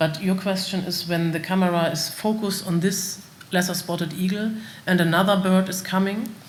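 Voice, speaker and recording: With a German accent, a woman speaks at a moderate pace in a fairly low pitch and monotone, flat intonation, over noticeable background noise with audible room echo. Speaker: company representative presenting bird detection system. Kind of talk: conference Q&A. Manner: halting, many fillers.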